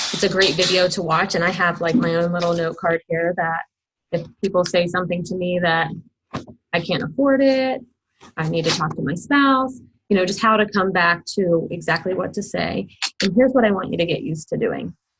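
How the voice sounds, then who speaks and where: A woman's fairly low voice at a fairly quick pace, with ordinary pitch variation. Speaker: direct sales team leader. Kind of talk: team call briefing. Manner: fast.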